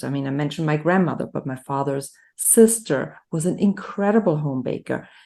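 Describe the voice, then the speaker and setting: A woman's very deep, low voice with a German accent at a moderate pace, against a quiet background. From Germany. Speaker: nutrition health coach. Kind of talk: interview conversation.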